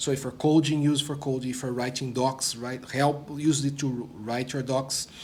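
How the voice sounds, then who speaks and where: In a room with audible echo, a man speaks in a medium pitch with monotone, flat intonation. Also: moderate pace, hardly any pauses. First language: not English. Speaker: product manager, former developer relations. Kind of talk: interview. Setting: conference studio.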